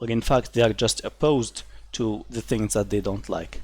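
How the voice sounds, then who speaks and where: A man speaks at a moderate pace with a fairly low, somewhat breathy voice. His pitch varies an ordinary amount. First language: not English (third or later language). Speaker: gaming commentary youtuber. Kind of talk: opinion commentary reading articles. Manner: animated, scornful.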